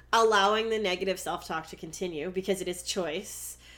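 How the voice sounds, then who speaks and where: A woman with an unremarkable speaking voice talks at a medium pitch with fairly even intonation, recorded very cleanly against a silent background. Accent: Canadian. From Canada. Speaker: podcast co-host. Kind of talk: casual chat.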